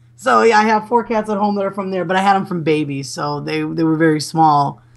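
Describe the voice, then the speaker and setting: A woman's fairly low voice with a Chicago accent, fairly quick and lively in intonation. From US Midwest, Chicago. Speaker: gaming website manager. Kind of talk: casual interview chat. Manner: halting, many fillers and restarts.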